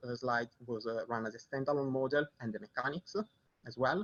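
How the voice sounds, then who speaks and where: Pitch varies in an ordinary way as the voice moves at a fairly quick pace. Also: man. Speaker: researcher. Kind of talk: conference talk. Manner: fast; halting, many fillers.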